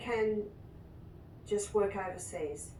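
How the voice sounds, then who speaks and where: With audible room echo and noticeable background noise, a woman speaks at a very slow pace. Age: 60s. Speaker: nurse and natural therapist. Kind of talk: interview testimony.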